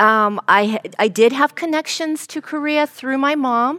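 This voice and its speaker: At a fairly slow pace, a woman with a high pitch and a bright, sharp tone speaks with ordinary pitch variation, the sound dry and close with no echo. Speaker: professor and moderator. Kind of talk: panel discussion. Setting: stage with audience.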